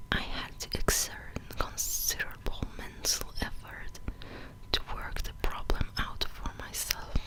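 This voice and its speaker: A man whispers at a fairly slow pace. Noticeable background noise can be heard. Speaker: ASMR reader. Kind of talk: ASMR book reading.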